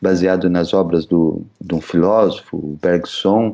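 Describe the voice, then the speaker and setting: A man's very deep, low voice with a dark, mellow tone, fairly even intonation and a fairly slow pace. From São Paulo (Zona Leste), Brazil. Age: 40s. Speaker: psychoanalyst. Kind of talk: interview.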